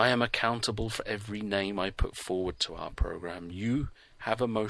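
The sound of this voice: An unforced reading voice with pitch that moves in an ordinary way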